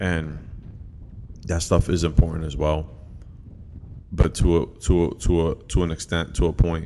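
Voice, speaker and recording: Very deep and low, this man's voice has a dark, mellow tone with vocal fry, fairly even intonation and long, frequent pauses. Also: moderate pace. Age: 30s. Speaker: podcast host and pastor. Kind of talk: solo podcast monologue. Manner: halting, many fillers and repetitions.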